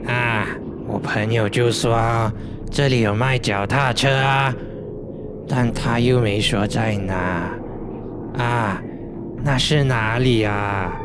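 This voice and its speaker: A man does a put-on character voice at a medium pitch, speaking very slowly with long, frequent pauses. Loud background noise is present. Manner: flat, monotone, no inflection.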